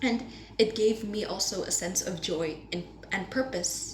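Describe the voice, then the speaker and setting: The recording has audible room echo. Noticeable background noise can be heard too. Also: woman. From Indonesia. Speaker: university student. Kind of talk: class presentation.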